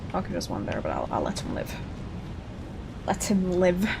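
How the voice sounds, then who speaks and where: A woman's voice with noticeable background noise. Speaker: VTuber streamer. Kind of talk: gameplay livestream commentary. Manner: fast.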